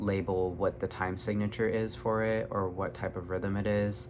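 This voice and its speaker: Fairly slow in pace, a man speaks at a fairly low pitch with ordinary pitch variation. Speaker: YouTuber, self-taught artist. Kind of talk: casual vlog monologue. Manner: animated.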